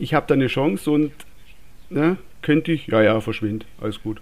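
His intonation is lively. The speaker is a man with a fairly high voice. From Swabia, southwest Germany. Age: 30s. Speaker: listener and motorsport fan, technician. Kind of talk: casual chat.

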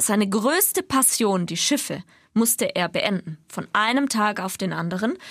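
In an unremarkable speaking voice, a woman talks at a moderate pace with a fairly high pitch and lively intonation. The recording is very clean, with a silent background. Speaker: radio podcast co-host. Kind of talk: casual chat.

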